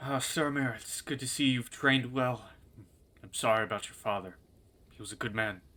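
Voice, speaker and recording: A man puts on a gruff character voice at medium pitch and a moderate pace. His loudness swings widely, and he takes long, frequent pauses. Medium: actual play. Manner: gruff, hard.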